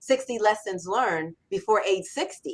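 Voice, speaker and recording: Her tone is animated. The woman speaks at a medium pitch. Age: 60s. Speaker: copywriter and author. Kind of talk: interview. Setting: live radio show.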